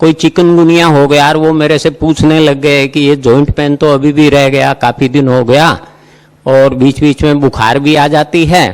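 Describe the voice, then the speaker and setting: The pitch of this man's voice is fairly high. His loudness stays very even and his intonation is monotone and flat. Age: 80s+. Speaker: naturopathy patient sharing experience. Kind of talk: conference testimonial talk.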